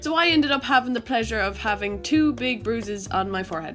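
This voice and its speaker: Over music in the background, a woman with a fairly high voice speaks with lively intonation. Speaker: jockey. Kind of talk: animated storytime narration.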